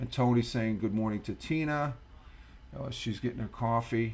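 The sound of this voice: A man speaks with an American accent, a slightly mellow tone, some vocal fry, and ordinary pitch variation. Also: medium pitch for a man, moderate pace.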